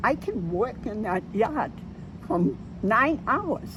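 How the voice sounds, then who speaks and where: Very slow speech over noticeable background noise. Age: 80s+. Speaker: senior voter interviewed. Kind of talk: street interview.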